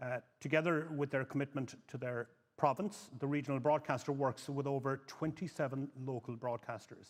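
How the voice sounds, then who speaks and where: Fairly quick speech in a Cork accent, with ordinary pitch variation. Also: man. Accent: Irish (Cork). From Ireland, northwest County Cork. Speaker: panel moderator, news editor. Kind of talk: conference panel introduction. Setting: conference stage with audience.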